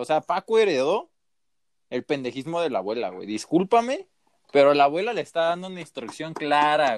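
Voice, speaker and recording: A man with a Mexican accent at fairly high pitch, very wide pitch swings and moderate pace, in a dry, close sound with no echo and a very clean recording with a silent background. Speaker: podcast co-host. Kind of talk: casual chat.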